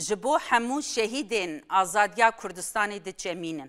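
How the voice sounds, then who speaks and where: Against a quiet background, a woman speaks in a bright, sharp tone. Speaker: TV presenter. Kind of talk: panel discussion remembering a colleague. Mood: solemn, respectful. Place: studio.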